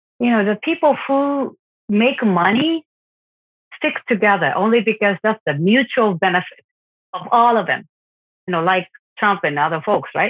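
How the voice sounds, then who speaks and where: A woman with a Japanese accent, lively intonation, a moderate pace, and long, frequent pauses. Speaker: parent of an abducted child. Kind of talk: interview testimony. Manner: halting, many fillers.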